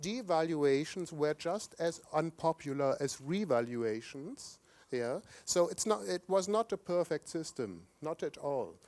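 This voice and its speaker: A man with a German accent speaks fairly slowly in a fairly high voice with lively intonation. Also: dry, close sound with no echo. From Germany. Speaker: conference speaker, economist. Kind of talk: conference speech. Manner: occasional stumbles and restarts.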